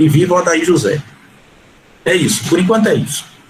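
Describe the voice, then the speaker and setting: Noticeable noise is heard in the background. A man talks over it. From Recife, Brazil. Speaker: historian. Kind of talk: panel discussion.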